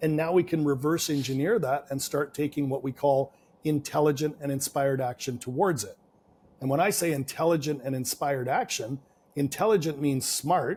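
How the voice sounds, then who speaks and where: Somewhat breathy, a man speaks with a Canadian accent. His pitch variation is ordinary. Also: fairly high pitch for a man, moderate pace. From Canada. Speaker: business and real estate coach. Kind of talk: podcast interview.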